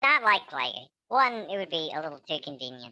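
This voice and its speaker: A put-on character voice at a middle pitch and a fairly quick pace. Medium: actual play. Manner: dry, deadpan.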